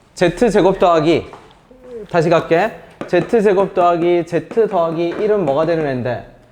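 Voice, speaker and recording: Noticeable background noise behind a man's high voice, fairly slow, with ordinary pitch variation. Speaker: math teacher. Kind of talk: lecture.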